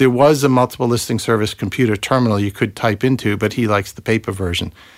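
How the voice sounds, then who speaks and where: In a very clean recording with a silent background and a dry, close sound with no echo, a man with an American accent speaks very fast with fairly even intonation. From US Massachusetts. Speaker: property investor and former software engineer. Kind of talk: casual chat. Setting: studio.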